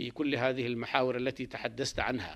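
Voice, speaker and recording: A man speaks at a medium pitch. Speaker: university official. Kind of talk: formal spoken address or interview statement.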